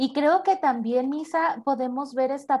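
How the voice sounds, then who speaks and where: Using ordinary pitch variation, a woman speaks at a very slow pace. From Mexico, Tepic, Nayarit. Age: 30s. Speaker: psychologist. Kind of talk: casual interview conversation.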